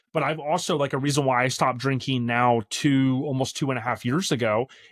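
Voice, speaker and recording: A man talks at a fairly quick pace with fairly even intonation. He has an ordinary speaking voice. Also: medium pitch for a man, very clean recording, silent background. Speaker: podcast host. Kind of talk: casual chat.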